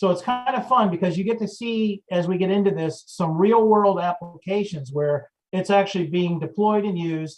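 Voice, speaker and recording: High pitch from a male speaker, ordinary pitch variation. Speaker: security consultant. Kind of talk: presentation. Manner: fast.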